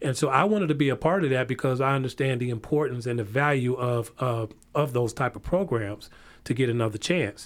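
A man's unremarkable speaking voice, medium in pitch, with an American accent, a fairly quick pace and ordinary pitch variation, on a very clean recording with a silent background. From northern Illinois, near Chicago. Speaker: community violence prevention coordinator. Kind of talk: interview.

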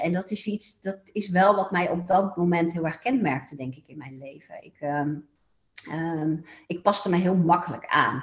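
Somewhat breathy, a woman speaks at a moderate pace in a fairly low pitch with ordinary pitch variation. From Netherlands, Eindhoven (North Brabant). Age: 40s. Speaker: therapist. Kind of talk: interview. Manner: hesitant with many fillers.

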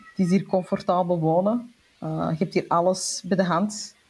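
Over music in the background, a woman speaks at a moderate pace and medium pitch with fairly even intonation. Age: 40s. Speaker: entrepreneur and author. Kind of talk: casual interview.

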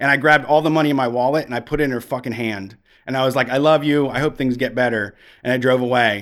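A man with an unremarkable speaking voice talks at a fairly quick pace in a medium pitch. His pitch varies in an ordinary way, and the recording is very clean with a silent background. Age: 30s. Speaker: radio show host. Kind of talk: casual chat. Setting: radio studio.

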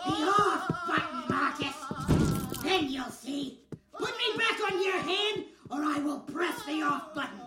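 A put-on character voice with a bright, sharp tone, lively intonation and a fairly slow pace over faint background music.

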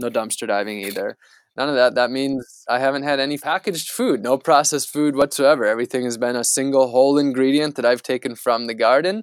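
Fairly quick and fairly even in intonation, a man with an American accent talks at a medium pitch in an unremarkable speaking voice. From United States. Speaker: environmental activist. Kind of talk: interview.

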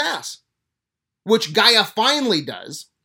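Over a silent background in a very clean recording, the voice sounds furious and animated. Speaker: video host / movie-TV commentator. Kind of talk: angry rant, profane review of a show. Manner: furious, sarcastic, loud and rapid-fire, swearing constantly; animated, exasperated, incredulous.

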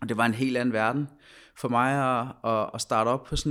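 Flat and monotone, a man speaks at a moderate pace. The recording is very clean, the background silent. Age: 20s. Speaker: former professional footballer. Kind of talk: interview, personal story. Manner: halting, many fillers and repetitions.

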